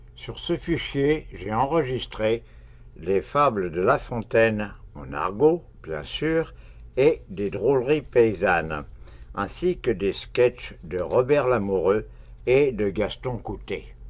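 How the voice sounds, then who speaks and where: The speaker goes at a very slow pace with very wide pitch swings and vocal fry. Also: man, medium pitch for a man. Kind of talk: read comic monologue.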